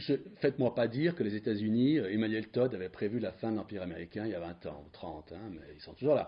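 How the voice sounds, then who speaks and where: A man's medium-pitched voice with lively intonation, in a Valais accent. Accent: Swiss French (Valais). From Switzerland, Valais. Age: 70s. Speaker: retired diplomat, speaker. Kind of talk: public lecture. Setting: conference hall with audience. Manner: hesitant, many fillers and repetitions.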